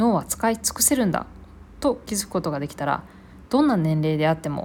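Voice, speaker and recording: Her pitch swings very widely. The woman's voice is somewhat breathy. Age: 20s. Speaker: podcaster reviewing books. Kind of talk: solo book review monologue.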